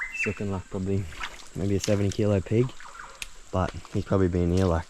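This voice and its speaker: A man with an Australian accent speaks at a very fast pace in a very deep, low voice with monotone, flat intonation, over noticeable background noise. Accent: Australian, broad. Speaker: pig hunter. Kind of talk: hunting vlog commentary. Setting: outdoors. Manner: quiet.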